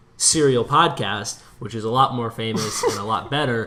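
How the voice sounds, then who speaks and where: At a medium pitch and a moderate pace, a man speaks with ordinary pitch variation against noticeable background noise. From US Midwest, Minneapolis. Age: 20s. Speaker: podcast co-host. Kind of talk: casual chat.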